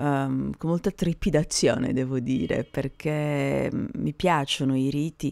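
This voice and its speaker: Very slowly and at a very deep, low pitch, a woman speaks with ordinary pitch variation on a very clean recording with a silent background. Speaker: podcaster. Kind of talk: casual spoken podcast monologue.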